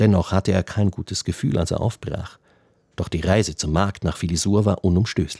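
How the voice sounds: The reading comes across in a natural reading voice.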